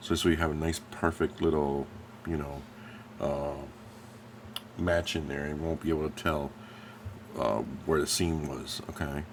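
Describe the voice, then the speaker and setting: With an American accent, a man speaks at a very deep, low pitch, leaving long, frequent pauses. Noticeable background noise can be heard. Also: fairly even intonation, moderate pace. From New Jersey, US. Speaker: scale model painter and YouTuber. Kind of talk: tutorial. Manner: casual, halting with many fillers.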